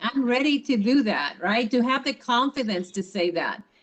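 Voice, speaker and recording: A woman with a non-native accent speaks in a high pitch at a fairly slow pace. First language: not English. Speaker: college administrator. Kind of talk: panel talk.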